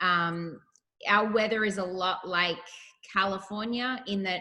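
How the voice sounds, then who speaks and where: A woman speaks with a bright, sharp tone. Her pitch sits in the medium range, and her intonation stays fairly even. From Australia, Melbourne. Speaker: artist and actress. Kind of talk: casual interview chat.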